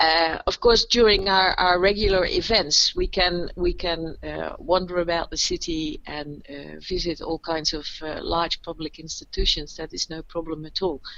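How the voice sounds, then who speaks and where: A woman with a Dutch accent speaks at a moderate pace, with hardly any pauses. Her loudness swings widely. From Netherlands, Maastricht. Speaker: podcast co-host, local tour guide. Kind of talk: casual conversational podcast. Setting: recording from home, remote. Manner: halting, many fillers and restarts.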